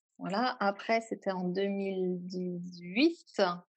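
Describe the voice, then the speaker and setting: With ordinary pitch variation, a woman talks in a normal speaking voice at medium pitch. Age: 30s. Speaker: yoga teacher. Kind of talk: interview.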